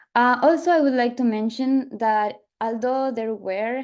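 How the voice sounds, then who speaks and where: A woman with an Ecuadorian accent at a fairly slow pace, with fairly even intonation, over a quiet background. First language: Spanish. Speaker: PhD student, field biologist. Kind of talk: panel talk with slides. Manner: halting, many fillers.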